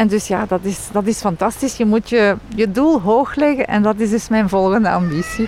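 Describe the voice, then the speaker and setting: Amid noticeable background noise, a woman with a French accent speaks at a moderate pace with hardly any pauses, her fairly high pitch showing ordinary variation and very even loudness. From Belgium, Leuven. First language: French (speaking Dutch). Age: 50s. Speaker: banking executive. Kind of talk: interview.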